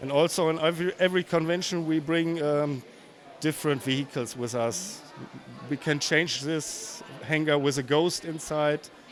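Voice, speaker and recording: Through noticeable background noise, a man talks with fairly even intonation at a fairly high pitch. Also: moderate pace. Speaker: LEGO builder. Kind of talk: casual interview. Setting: convention floor. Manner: halting.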